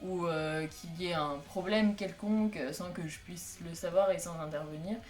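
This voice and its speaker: Amid music in the background and audible room echo, a woman with a fairly low pitch and ordinary pitch variation speaks at a fairly slow pace. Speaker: youtuber and fan community organizer. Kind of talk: casual vlog announcement. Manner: hesitant, many fillers.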